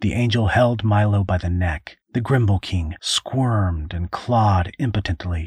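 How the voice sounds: A natural reading voice. Its pitch varies in an ordinary way.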